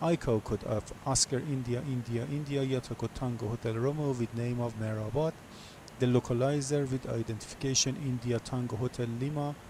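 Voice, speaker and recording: A somewhat breathy man speaks at a medium pitch with fairly even intonation. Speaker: flight simulator streamer. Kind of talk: tutorial. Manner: halting, many fillers.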